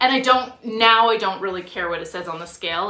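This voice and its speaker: A woman with an ordinary speaking voice talks at a moderate pace and medium pitch, with ordinary pitch variation. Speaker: fitness vlogger. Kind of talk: casual vlog monologue.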